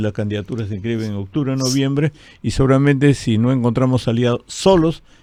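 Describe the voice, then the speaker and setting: Speaking fairly quickly, a man uses a dark, mellow tone at medium pitch with ordinary pitch variation. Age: 70s. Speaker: politician, party president. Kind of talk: radio interview.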